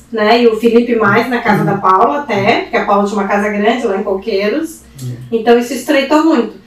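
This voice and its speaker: A woman's fairly high voice at a very fast pace with hardly any pauses, ordinary pitch variation, and noticeable background noise. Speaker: interior decorator. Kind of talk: casual chat.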